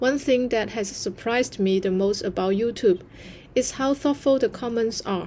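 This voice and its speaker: With a Chinese accent, a woman speaks fairly slowly at a fairly high pitch in a dark, mellow tone. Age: 30s. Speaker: content creator. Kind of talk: vlog narration.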